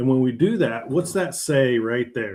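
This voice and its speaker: A plain, everyday voice with lively intonation is heard in a very clean recording with a silent background. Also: man. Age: 50s. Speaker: health coach and oil field worker. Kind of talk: live stream talk. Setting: live stream. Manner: casual.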